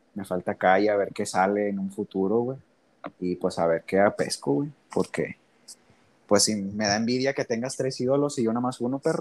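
Speaking in a plain, everyday voice, a man with a fairly low pitch uses lively intonation at a moderate pace, the sound dry and close with no echo. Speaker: podcast host. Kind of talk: casual chat.

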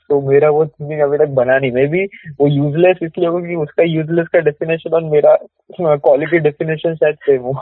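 With monotone, flat intonation, a man talks very fast in a fairly high voice. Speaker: podcast guest, salesperson. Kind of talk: casual chat.

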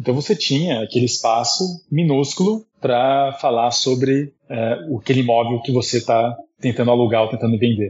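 This man's somewhat breathy voice holds a very even loudness. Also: medium pitch for a man, ordinary pitch variation, moderate pace. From abroad: Taiwan, Turkey, Portugal, Netherlands. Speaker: marketing executive. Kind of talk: interview.

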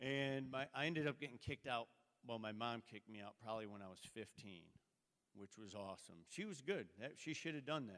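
Here is a man with a normal speaking voice at a medium pitch. He goes at a fairly quick pace. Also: lively intonation. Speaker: church member. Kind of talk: testimony. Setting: church.

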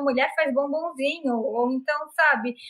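A woman speaks at a high pitch in a shrill, bright, sharp tone. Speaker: live show host. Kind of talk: casual chat. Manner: animated.

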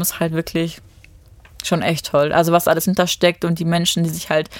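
An unremarkable speaking voice, a woman's at fairly low pitch, moves at a fairly quick pace on a very clean recording with a silent background. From Germany, Düsseldorf area, Romanian parents. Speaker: reality TV contestant, office worker. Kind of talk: casual interview chat.

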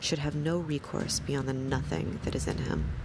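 A woman speaks in a calm, soothing tone. Noticeable background noise runs behind her. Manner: slow, measured, deliberate and calm, with pauses and a soothing even cadence; quiet, soft-spoken, somber and contemplative, occasionally self-correcting a stumble.

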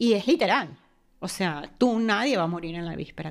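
A woman with an ordinary speaking voice talks at a fairly quick pace in a medium pitch, her intonation lively, on a very clean recording with a silent background. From Venezuela. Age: 40s. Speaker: mother sharing near-death experience. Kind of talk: personal testimony.

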